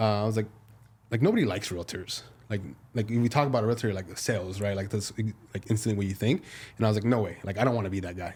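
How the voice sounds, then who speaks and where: A man with a Spanish accent speaks at a very fast pace yet leaves long, frequent pauses, his fairly low, somewhat breathy voice holding a fairly even intonation. The recording is very clean and the background silent. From US-born, second-generation Mexican American. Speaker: realtor. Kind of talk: casual chat.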